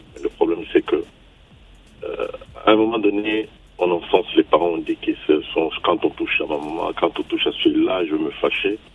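A man talking at a moderate pace, with music in the background. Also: long, frequent pauses. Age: 50s. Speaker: radio caller. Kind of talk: call-in opinion. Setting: phone call. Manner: halting.

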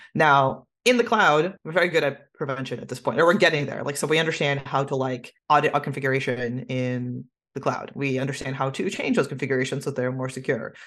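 A woman talks at a very deep, low pitch and a fairly quick pace, with ordinary pitch variation and hardly any pauses. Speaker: cybersecurity strategy director. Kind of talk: casual interview. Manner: fast talker.

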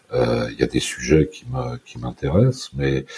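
A man speaks at a very slow pace. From France, Brittany / northern Paris suburbs. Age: 50s. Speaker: former export sales manager, recovering addict. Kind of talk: personal testimony interview.

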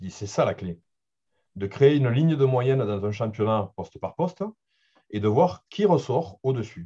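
Somewhat breathy speech at a moderate pace, with lively intonation, big swings in loudness and long, frequent pauses. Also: man, medium pitch for a man. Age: 40s. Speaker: football data analyst. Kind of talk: interview. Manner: halting.

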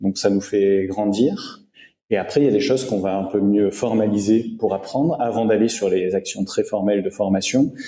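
A man talks at a fairly slow pace in a dark, mellow tone. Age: 30s. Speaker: HR director and digital learning expert. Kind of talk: interview. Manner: hesitant with fillers.

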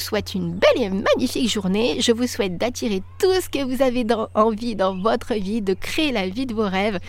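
A woman with a fairly high pitch speaks at a moderate pace with lively intonation and hardly any pauses. Noticeable background noise is present. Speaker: life and business coach, podcast host. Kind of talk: solo podcast monologue. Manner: animated.

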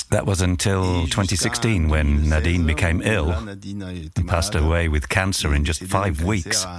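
A man with a very deep, low pitch, fairly slow with hardly any pauses, ordinary pitch variation and very even loudness, amid audible room echo and noticeable background noise. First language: French. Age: 60s. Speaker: retired wine grower. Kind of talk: interview storytelling.

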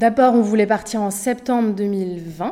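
This woman's tone is dark and mellow. She varies her pitch an ordinary amount. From Paris, Montmartre. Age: 40s. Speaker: podcast guest, mother who moved abroad. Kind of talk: interview testimony. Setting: improvised studio. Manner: hesitant, many fillers.

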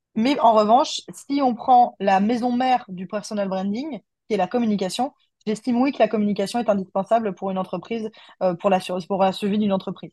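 A woman's fairly high, dark and mellow voice, somewhat breathy, at a fairly quick pace with ordinary pitch variation over a quiet background. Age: 30s. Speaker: communication agency owner. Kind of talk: casual interview chat.

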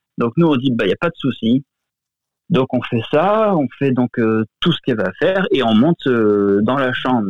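This is a man's voice at medium pitch. He talks at a moderate pace. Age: 30s. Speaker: guest sharing a personal paranormal story. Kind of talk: testimony. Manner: halting, many fillers.

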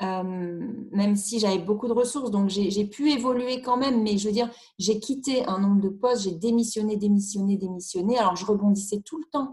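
This woman's voice sits at a medium pitch with ordinary variation. She keeps a moderate pace. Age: 40s. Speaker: single mother sharing personal story. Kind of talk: personal testimony interview. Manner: halting, hesitant with repetitions.

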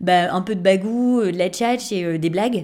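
A woman talks at a medium pitch with ordinary pitch variation. It is a plain, everyday voice. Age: 30s. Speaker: improv actor. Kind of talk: casual interview.

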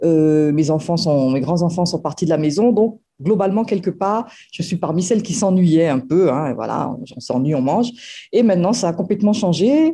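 The voice has lively intonation. Its tone is dark, mellow and somewhat breathy. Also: woman, moderate pace. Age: 50s. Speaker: former program participant. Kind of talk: testimony. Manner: halting, many hesitations.

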